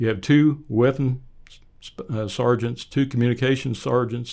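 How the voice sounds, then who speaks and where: In a very clean recording with a silent background, a man talks at medium pitch and a moderate pace with ordinary pitch variation in an ordinary speaking voice. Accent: American. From Oklahoma, US. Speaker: church elder, retired executive, army veteran. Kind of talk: interview.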